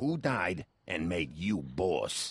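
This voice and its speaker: A man puts on a character voice that growls at a very deep, low pitch. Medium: video game. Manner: brusque, questioning.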